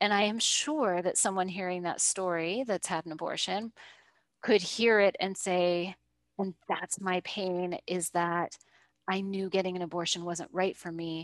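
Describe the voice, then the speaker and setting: A woman's fairly slow, fairly evenly intoned speech at a medium pitch, a plain, everyday voice with a dry, close sound, no echo, and a quiet background. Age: 40s. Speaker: coach working with women on visibility. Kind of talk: casual chat.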